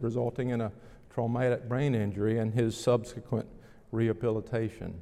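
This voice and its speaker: At a fairly quick pace, a man speaks with a Southern US accent. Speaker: pastor. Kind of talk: sermon. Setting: church.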